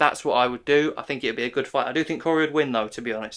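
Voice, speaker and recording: In a British accent, a man talks with a bright, sharp tone and fairly even intonation on a very clean recording with a silent background. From UK. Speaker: MMA YouTuber. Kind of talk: casual commentary monologue. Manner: casual, chatty.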